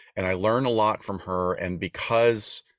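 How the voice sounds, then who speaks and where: Recorded very clean against a silent background with a dry, close sound and no echo, a man with a Southern US accent speaks at a moderate pace with fairly even intonation. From US Deep South, Appalachian area. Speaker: podcast co-host, former performer. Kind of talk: casual storytelling.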